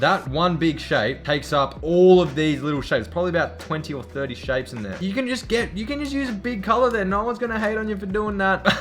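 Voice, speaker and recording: A high-pitched man speaks at a very fast pace with hardly any pauses, his tone animated and his pitch swinging very widely. Faint music plays in the background. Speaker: graphic design youtuber; artist streamer reviewing entries. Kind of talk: art critique commentary. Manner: casual, animated. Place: home room.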